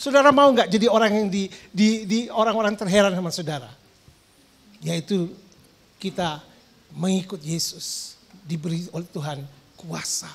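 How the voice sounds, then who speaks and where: The speech keeps a moderate pace, broken by long, frequent pauses. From East Java, Indonesia. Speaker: pastor. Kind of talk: sermon. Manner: animated.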